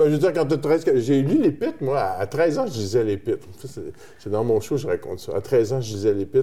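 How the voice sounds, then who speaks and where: Fairly high in pitch for a man, a plain, everyday voice moves at a fairly quick pace. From Quebec, Terrebonne. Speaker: musician. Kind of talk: interview. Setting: studio, blindfolded.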